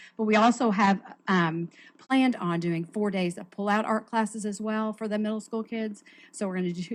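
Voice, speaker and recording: A woman talks with fairly even intonation. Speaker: school gifted program coordinator. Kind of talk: staff report at school board meeting. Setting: school board meeting. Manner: fast.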